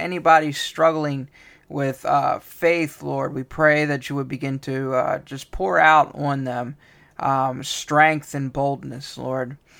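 A man with a plain, everyday voice, fairly high in pitch, fairly even in intonation and fairly slow in pace, on a very clean recording with a silent background. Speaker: podcast host and prayer leader. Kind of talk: fervent intercessory prayer, spoken over listeners; brief podcast update. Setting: studio podcast recording. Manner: earnest, pleading, fervent, with repeated 'Lord' and filler pauses; warm, sincere, unhurried.

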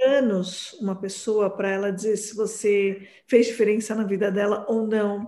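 Barely pausing, a woman speaks at a medium pitch and a fairly slow pace, her intonation monotone and flat, with audible room echo. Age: 40s. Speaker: psychoanalyst. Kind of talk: interview.

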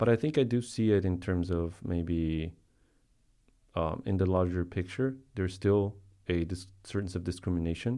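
Over a quiet background, a man with a very deep, low pitch and a dark, mellow tone talks at a moderate pace with ordinary pitch variation. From Colombia. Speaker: art professor. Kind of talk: casual chat. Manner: halting.

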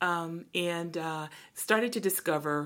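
A woman's fairly low voice with an American accent, a normal speaking voice with ordinary pitch variation, on a very clean recording with a silent background. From Brooklyn, New York. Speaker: podcast co-host, church minister. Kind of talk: casual chat.

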